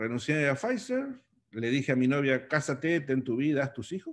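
A man with an unremarkable speaking voice and fairly high pitch talks at a moderate pace against a quiet background. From Argentina. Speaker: long-distance motorcycle traveler; interview guest. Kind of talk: interview. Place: home room. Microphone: webcam.

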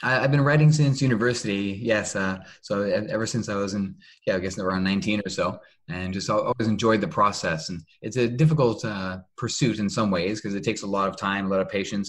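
An ordinary speaking voice from a man with a Canadian accent, fairly low pitch, ordinary pitch variation and fairly quick pace, against a quiet background. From Canada. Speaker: novelist and hotel manager. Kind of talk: interview. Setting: video call.

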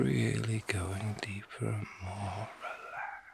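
Whispering, a man speaks in a gentle, soothing tone. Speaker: reiki master and ASMR artist. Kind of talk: ASMR reiki healing session, guided relaxation. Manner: gentle, whispered, slow, soothing. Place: home room. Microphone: phone near.

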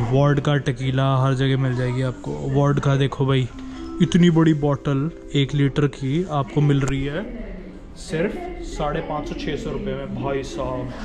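Clear music plays in the background as a man speaks at a medium pitch. He talks at a fairly slow pace with fairly even intonation.

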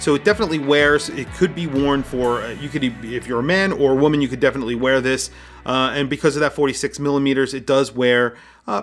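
Speaking at a very fast pace with ordinary pitch variation, a man is heard over faint background music. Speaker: watch reviewer. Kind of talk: product review commentary. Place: home room.

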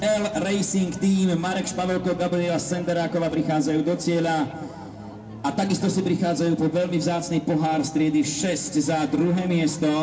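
A man's high-pitched voice at a moderate pace, with fairly even intonation, very even loudness and noticeable background noise. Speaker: rally event announcer. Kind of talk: live rally commentary. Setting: outdoors at rally event, PA system.

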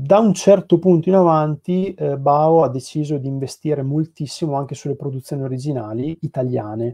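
A man talks at a fairly quick pace and a fairly high pitch, with hardly any pauses. His pitch varies in an ordinary way against a quiet background. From Piacenza, northern Italy; northern Italy. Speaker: graphic designer at a comics publisher. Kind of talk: casual interview. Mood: calm, thoughtful. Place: home room. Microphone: video call.

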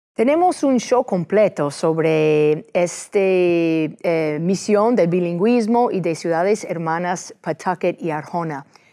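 Against a quiet background, a woman with an English accent speaks at a very slow pace with hardly any pauses, her dark, mellow tone carrying ordinary pitch variation. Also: fairly low pitch for a woman. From United States. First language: English (speaking Spanish). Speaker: TV host, lawyer and state senator; talk show host. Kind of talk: interview; interview question. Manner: halting with many fillers. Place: studio. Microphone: lapel.

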